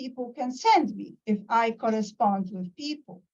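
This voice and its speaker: Lively intonation from a woman, high in pitch and at a moderate pace. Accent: Polish. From Poland. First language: Polish. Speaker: professor. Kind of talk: lecture. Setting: video call. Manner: halting.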